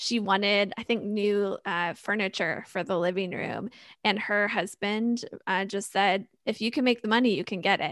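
Over a quiet background, a woman with a plain, everyday voice speaks at a medium pitch with fairly even intonation. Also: moderate pace. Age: 30s. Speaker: financial strategist and podcaster. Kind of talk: casual interview.

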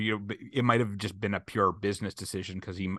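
A man with a fairly low pitch speaks in a bright, sharp tone and a flat monotone. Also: quiet background. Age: 30s. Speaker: comedian. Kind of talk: casual chat.

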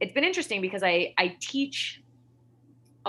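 This woman has a bright, sharp tone and an American accent, and her pitch swings very widely. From US West, Salt Lake City, Utah. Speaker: hand balancing and pole teacher. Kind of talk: casual chat.

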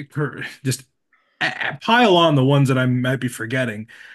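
Over a quiet background, a man talks with an American accent in a fairly high pitch. His pitch variation is ordinary, an unremarkable speaking voice. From Nebraska. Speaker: podcast host. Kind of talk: casual chat.

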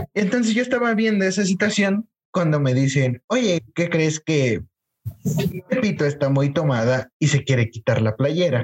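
In a dry, close recording with no echo, a man speaks at a fairly slow pace in a fairly high pitch, making very wide pitch swings while keeping his loudness very even. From Mexico City. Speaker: podcast co-host. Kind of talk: casual chat.

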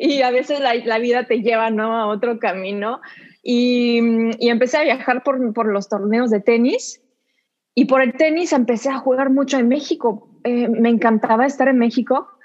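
A French accent at a moderate pace, fairly even intonation, and a quiet background. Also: woman, high pitch for a woman. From southern France. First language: French (speaking Spanish). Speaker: actress. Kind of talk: interview.

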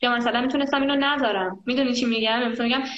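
A woman speaks at a fairly high pitch. Audible room echo is present. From Iran, Tehran. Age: 20s. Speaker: traveler and volunteer. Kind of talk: casual chat. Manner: animated.

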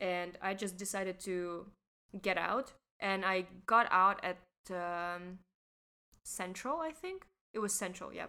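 Her medium-pitched voice has a bright, sharp tone and ordinary pitch variation, unfolding at a fairly slow pace with long, frequent pauses. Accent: Russian. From Russia. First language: Russian. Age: young. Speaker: podcast co-host, teacher. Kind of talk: casual chat.

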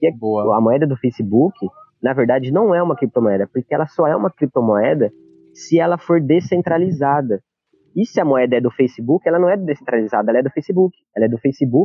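Moving at a fairly quick pace with lively intonation, this is a plain, everyday voice. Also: man, medium pitch for a man. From Brazil, Campinas (São Paulo state). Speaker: crypto and stock trader. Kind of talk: interview, explaining.

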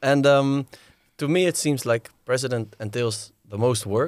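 A man with a Dutch accent, heard in a dry, close sound with no echo. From Netherlands. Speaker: podcast host. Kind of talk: interview.

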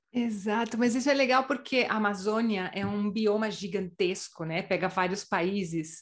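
An ordinary speaking voice, with ordinary pitch variation, talks at a moderate pace with hardly any pauses. The background is quiet. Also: woman, medium pitch for a woman. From Brazil. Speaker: podcast host. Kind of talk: interview.

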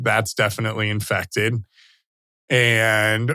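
A man speaks with a bright, sharp tone and vocal fry. The recording is very clean, with a silent background. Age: 30s. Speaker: Special Forces veteran. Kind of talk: interview about personal story.

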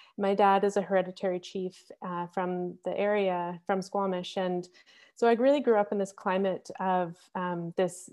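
A woman with a Canadian accent and an ordinary speaking voice, medium in pitch, at a moderate pace with fairly even intonation. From Canada, British Columbia (Victoria). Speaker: ethnobotanist. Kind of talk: webinar conversation.

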